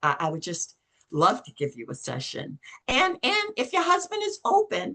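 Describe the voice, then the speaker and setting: A woman's high, bright, sharp voice, raised and projected, with very wide pitch swings and big swings in loudness. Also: moderate pace. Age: 70s. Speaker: belief coding facilitator. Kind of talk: casual interview chat.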